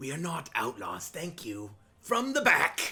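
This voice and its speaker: A man puts on a raspy character voice at a high pitch. He speaks fairly slowly, with very wide pitch swings. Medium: actual play.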